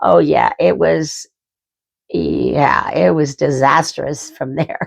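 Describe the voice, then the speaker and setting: With an Idaho accent, a woman speaks at a very slow pace. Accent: American, Idaho. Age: 60s. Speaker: vlogger. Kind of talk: casual chat. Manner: animated.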